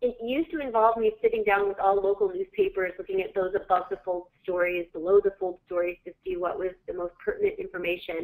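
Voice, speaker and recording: A woman's medium-pitched voice at a fairly quick pace, ordinary pitch variation, hardly any pauses. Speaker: PR professional and webinar co-presenter. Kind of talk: webinar presentation. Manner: fast.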